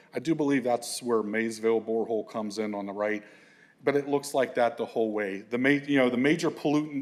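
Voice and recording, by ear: Speaking at a fairly quick pace, a man uses a medium pitch.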